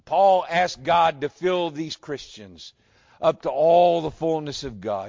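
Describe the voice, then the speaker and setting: This man has a Southern US accent and a fairly high pitch. He talks fairly slowly, with ordinary pitch variation. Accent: Southern American. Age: 60s. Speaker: pastor. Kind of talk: sermon. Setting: church.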